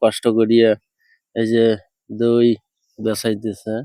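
Speaking is a man with a dark, mellow tone. The sound is dry and close, with no echo. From northern Bangladesh, Rangpur (Pirgachha). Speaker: video blogger. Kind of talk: casual street interview vlog.

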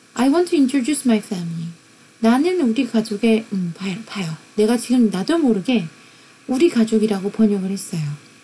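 A woman with a fairly high pitch and very wide pitch swings at a moderate pace, over noticeable background noise. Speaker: university lecturer. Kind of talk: lecture.

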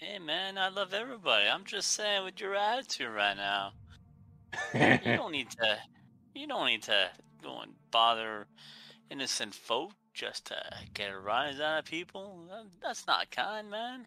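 At a fairly slow pace, a man puts on a character voice pitched high, with faint music in the background. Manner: easygoing, mellow, calling others man and friend.

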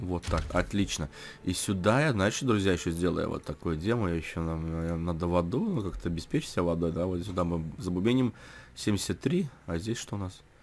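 With a very deep, low pitch and ordinary pitch variation, the man delivers his words at a moderate pace. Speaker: gamer. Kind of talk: casual gameplay commentary. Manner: casual, chatty.

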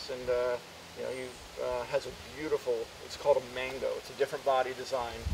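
A man with an American accent talks at a very fast pace, with big swings in loudness and long, frequent pauses. Noticeable background noise runs underneath. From Washington, D.C. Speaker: velomobile owner. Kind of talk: interview. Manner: halting.

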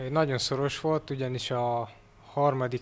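Monotone, flat intonation at a fairly slow pace. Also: man. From Hungary, Zala county; Hungary. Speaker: athlete. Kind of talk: interview. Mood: calm, modest. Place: office. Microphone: handheld.

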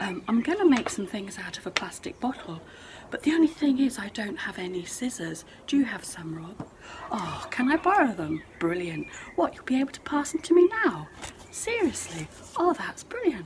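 A woman's high-pitched voice at a moderate pace, with big swings in loudness and noticeable background noise. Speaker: outdoor education tutor. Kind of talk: playful acted phone chat. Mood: cheerful, playful. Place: garden. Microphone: phone near.

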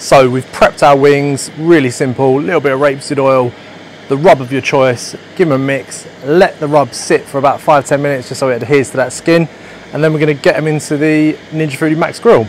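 A man speaks fairly quickly with fairly even intonation. The sound is dry with no echo, with light background noise. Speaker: presenter. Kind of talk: cooking tutorial. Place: garden.

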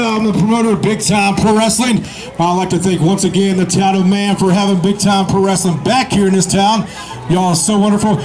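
A man's high-pitched voice, fairly quick and fairly even in intonation, with faint music in the background. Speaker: wrestling promoter. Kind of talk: live event announcement to crowd. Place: street. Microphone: pa.

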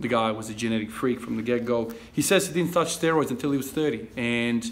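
The man speaks at a very fast pace. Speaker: fitness vlogger. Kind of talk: casual vlog chat. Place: garage. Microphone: phone near.

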